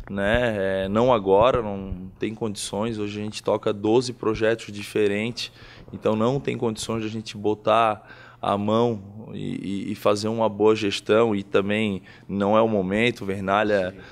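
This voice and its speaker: A man's fairly low voice in a monotone, flat delivery at a fairly slow pace. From Florianópolis, southern Brazil; Santa Catarina, Brazil. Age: 30s. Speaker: businessman and football club sponsor. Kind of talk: interview. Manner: halting, with frequent repetitions. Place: home room. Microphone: handheld.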